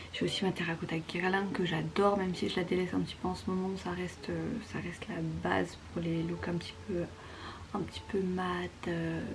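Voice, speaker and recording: Through noticeable background noise and audible room echo, a woman talks at a moderate pace. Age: 20s. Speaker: beauty vlogger. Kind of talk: casual vlog narration. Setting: at home in bedroom, late night. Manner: casual, filler-heavy; whispering in part.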